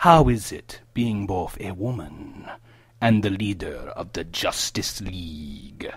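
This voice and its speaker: In a put-on character voice, a man speaks fairly slowly at a fairly low pitch, on a very clean recording with a silent background. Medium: audio drama. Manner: smarmy, self-satisfied.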